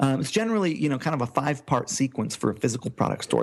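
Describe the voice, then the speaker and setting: A man at medium pitch speaks with very wide pitch swings. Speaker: e-commerce entrepreneur. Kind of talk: podcast interview. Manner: fast.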